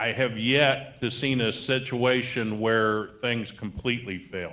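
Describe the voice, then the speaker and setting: The tone is bright and sharp, with audible room echo. The pace is very slow. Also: man. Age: 60s. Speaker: state aging-services program representative. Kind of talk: seminar panel Q&A.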